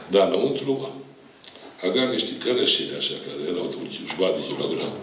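Light background noise sits under a man's voice, and the room echo is audible. He keeps a moderate pace. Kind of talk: public speech at town event. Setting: hall with microphone and audience. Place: meeting room.

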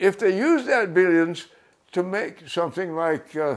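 A man at a high pitch with an American accent, moderate pace and ordinary pitch variation, against a quiet background. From American Midwest. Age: 80s+. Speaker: farmer. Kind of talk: interview answer. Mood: indignant about greed. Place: home room.

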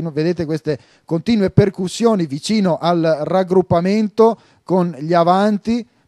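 A man speaks with a high pitch and a dark, mellow tone. His pitch varies in an ordinary way, and the sound is dry and close with no echo. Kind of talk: live-style sports commentary over match highlights. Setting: voiceover on highlights video.

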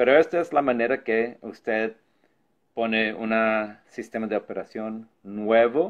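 A man's ordinary speaking voice, medium in pitch, at a fairly slow pace. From New York (Brooklyn), Puerto Rican parents. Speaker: tech tutorial youtuber. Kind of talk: tutorial.

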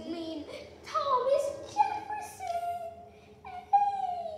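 In a put-on character voice with an extremely high pitch, the speaker goes very slowly, with clear echo and clear background noise. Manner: silly cartoon voice.

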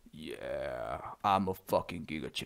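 At a fairly slow pace, a man speaks in a put-on character voice. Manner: mocking, macho.

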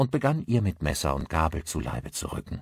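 A man speaks at a moderate pace with big pitch swings, vocal fry and a slightly husky edge. The recording is very clean, with a silent background.

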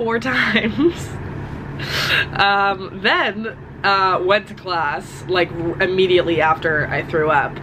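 A woman speaks at a fairly slow pace. Noticeable background noise can be heard. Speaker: college student vlogger. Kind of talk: casual vlog chat. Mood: unwell but upbeat. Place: home room. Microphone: phone near.

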